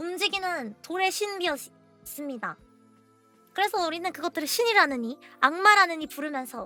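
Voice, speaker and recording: Over music in the background, a woman uses a raised, projected voice at an extremely high pitch, with very wide pitch swings and a moderate pace. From Korea. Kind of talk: casual explainer talk to viewers.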